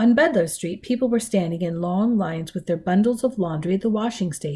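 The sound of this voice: The pitch shows ordinary variation in an unforced reading voice.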